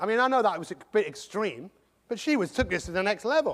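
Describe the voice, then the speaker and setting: A man with an English accent speaks at a fairly quick pace, his tone animated and his intonation lively. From England. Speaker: motivational speaker. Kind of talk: motivational talk.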